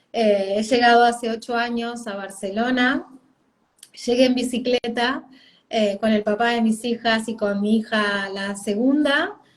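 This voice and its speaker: A woman speaks in an Argentine accent at a fairly slow pace. Her fairly high pitch has fairly even intonation. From Argentina. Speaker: parenting coach. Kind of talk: interview. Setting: video call live stream.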